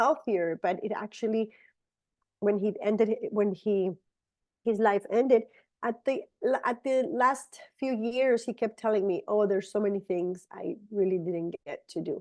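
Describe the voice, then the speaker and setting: A woman with a Spanish accent speaks at a fairly slow pace. Her pitch is fairly high, and her intonation is fairly even. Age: 50s. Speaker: supplement presenter. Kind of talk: product presentation. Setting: video call. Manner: halting.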